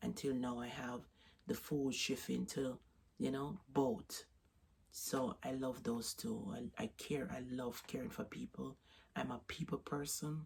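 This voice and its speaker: Very wide pitch swings mark a woman's very deep, low voice as she speaks at a fairly slow pace in a Jamaican accent. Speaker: vlogger. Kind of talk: casual vlog talk. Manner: halting.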